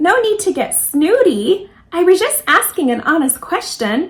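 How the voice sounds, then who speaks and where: A woman puts on a squeaky character voice at an extremely high pitch. Her pitch swings very widely as she goes at a moderate pace. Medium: read story. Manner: mocking, needling.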